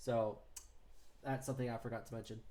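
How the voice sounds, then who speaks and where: The man's medium-pitched voice has a dark, mellow tone and a flat, monotone delivery. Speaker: gaming YouTuber. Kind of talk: casual reaction video commentary. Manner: stutters at times.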